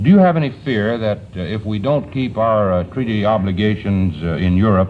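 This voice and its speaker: With an American accent, a man talks at a fairly low pitch with hardly any pauses, over noticeable background noise. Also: ordinary pitch variation, moderate pace. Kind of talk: television interviewer question.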